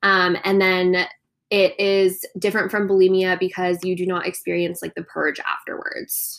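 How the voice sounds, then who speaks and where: With an American accent, a woman of medium pitch speaks at a fairly slow pace in a monotone, flat intonation. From Coronado, California. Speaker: podcast co-host. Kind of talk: casual chat.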